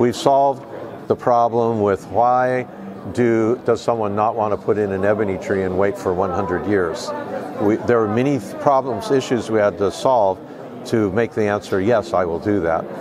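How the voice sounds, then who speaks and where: With crowd noise behind and audible room echo, the speech moves at a moderate pace with ordinary pitch variation. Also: man, fairly low pitch for a man. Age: 60s. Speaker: guitar maker and company founder. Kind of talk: interview. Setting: trade show.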